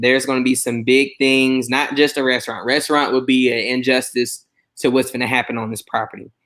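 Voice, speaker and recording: This voice moves at a fairly quick pace with a bright, sharp tone and a Southern US accent. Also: man. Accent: Southern country twang. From US South, Mobile, Alabama. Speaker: chef. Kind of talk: casual chat. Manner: animated.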